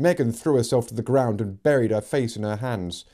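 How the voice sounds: The voice reads in a natural manner.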